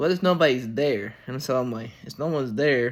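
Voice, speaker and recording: A man talks with ordinary pitch variation. The recording is very clean, and the background is silent. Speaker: youtuber. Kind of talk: casual storytelling. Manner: casual, halting.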